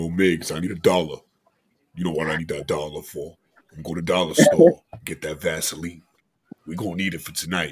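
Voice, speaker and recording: In a put-on character voice, a man speaks with a very deep, low pitch and monotone, flat intonation at a fairly quick pace, with long, frequent pauses and big swings in loudness. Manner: jokey, suggestive.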